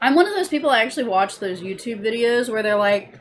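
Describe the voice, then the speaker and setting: A woman with an American accent. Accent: Southern drawl, comes and goes. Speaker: vlogger. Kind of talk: casual chat.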